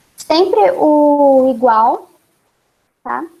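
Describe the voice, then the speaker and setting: A woman's high-pitched voice with a dark, mellow tone. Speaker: university student teaching a short course. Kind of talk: online tutorial class.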